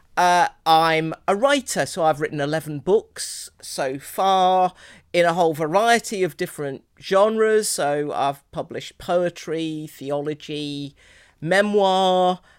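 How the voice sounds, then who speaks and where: In an English accent, a woman speaks at a very slow pace with a fairly low pitch on a very clean recording with a silent background. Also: ordinary pitch variation. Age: 50s. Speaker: priest and theologian. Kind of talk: interview conversation. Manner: hesitant, many fillers.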